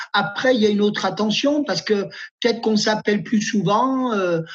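His voice sits high for a man. The intonation he uses is fairly even. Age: 50s. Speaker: nurse. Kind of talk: personal testimony.

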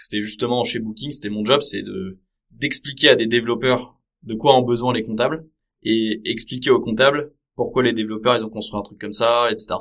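In a plain, everyday voice, a man talks at a moderate pace and medium pitch with fairly even intonation but big swings in loudness. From Paris region, France. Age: 30s. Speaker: tech startup founder. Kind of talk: podcast interview.

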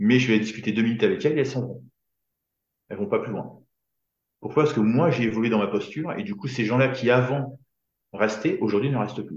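A man speaks at a medium pitch with lively intonation and a fairly quick pace. His voice is somewhat breathy, broken by long, frequent pauses. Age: 50s. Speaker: business coach. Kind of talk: casual chat.

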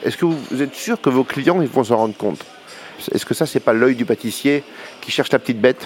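A man speaks at a medium pitch with ordinary pitch variation. There is noticeable background noise in the recording. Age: 50s. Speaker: pastry chef. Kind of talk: interview. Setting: brasserie.

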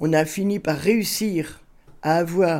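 A woman speaks with a dark, mellow tone at a fairly low pitch. The recording is very clean, with a silent background. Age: 80s+. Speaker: neighbourhood elder and community activist. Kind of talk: interview.

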